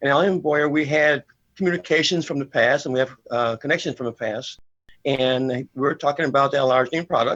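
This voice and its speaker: A man's unremarkable speaking voice, fairly high in pitch, with fairly even intonation and a fairly quick pace. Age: 60s. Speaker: bodybuilder and kinesiologist. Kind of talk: TV interview. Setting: studio.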